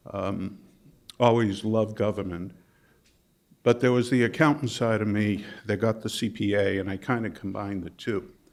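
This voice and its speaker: With a slight Boston accent, a man speaks at a moderate pace in a fairly low pitch, his intonation fairly even, leaving long, frequent pauses on a very clean recording with a silent background. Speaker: management consultant and presenter. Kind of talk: workshop presentation. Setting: conference workshop with audience.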